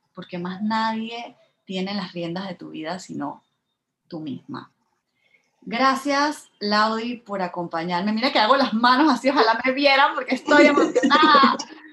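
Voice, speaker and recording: A woman's voice is fairly high in pitch, with a bright, sharp tone and lively intonation. She speaks at a fairly slow pace with big swings in loudness. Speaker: podcast host. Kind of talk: casual interview chat.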